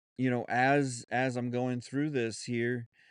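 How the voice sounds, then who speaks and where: Against a quiet background, a man with a Southern US accent speaks in a monotone, flat way. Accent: Southern US drawl, put on when lazy. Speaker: podcast host. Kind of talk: solo podcast monologue, unscripted. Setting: home studio. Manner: halting, many fillers and restarts.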